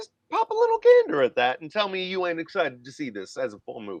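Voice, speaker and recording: In a dry, close sound with no echo, a man with an American accent speaks with lively intonation. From Northern Virginia. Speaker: comedian and actor. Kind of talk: casual chat. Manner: halting.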